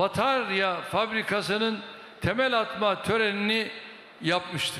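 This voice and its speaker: A man speaks in a raised, projected voice at a very slow pace. The room echo is audible. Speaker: politician giving a speech. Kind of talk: political speech. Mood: combative toward opposition.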